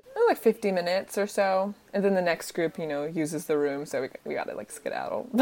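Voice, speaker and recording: A woman speaks at a very fast pace with hardly any pauses. Noticeable background noise runs underneath. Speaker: a cappella group member and segment host. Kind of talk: casual chat. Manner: mellow, laid-back.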